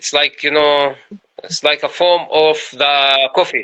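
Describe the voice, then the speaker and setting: A man with an Arabic accent speaks at a fairly slow pace. His fairly high voice stays monotone, with flat intonation. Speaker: poet. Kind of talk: interview. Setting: Instagram live video call. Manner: halting, many fillers.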